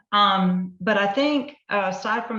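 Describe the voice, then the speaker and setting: A bright, sharp tone in a Southern US accent. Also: woman. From US South. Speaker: novelist. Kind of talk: author presentation.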